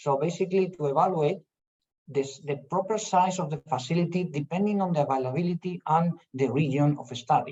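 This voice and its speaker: With a Spanish accent, a man speaks at a fairly quick pace in a dark, mellow tone. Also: fairly high pitch for a man, ordinary pitch variation. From Spain. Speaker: professor. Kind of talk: lecture. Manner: halting.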